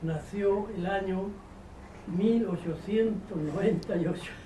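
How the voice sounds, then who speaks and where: With noticeable background noise, a man speaks with fairly even intonation. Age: 80s+. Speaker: grandfather. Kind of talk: spoken introduction to a poem. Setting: family Christmas dinner.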